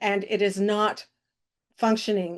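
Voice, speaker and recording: Very slow speech from a fairly high-pitched woman in a Midwestern American accent, against a quiet background. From Kansas, Harvey County. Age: 70s. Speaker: activist organizer. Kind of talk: podcast interview.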